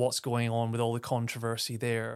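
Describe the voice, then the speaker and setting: A man speaks with an Aberdeen accent in a very clean recording with a silent background. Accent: Scottish (Aberdeen). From Aberdeen, northeast Scotland. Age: 30s. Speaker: podcast host. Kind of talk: solo podcast monologue.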